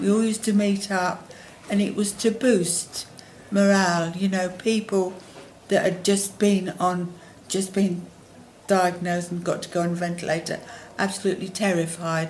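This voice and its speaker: Somewhat breathy, a woman speaks at a medium pitch in a flat monotone, with long, frequent pauses. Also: moderate pace. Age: 70s. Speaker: long-term hospital patient on a ventilator. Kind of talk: interview answer.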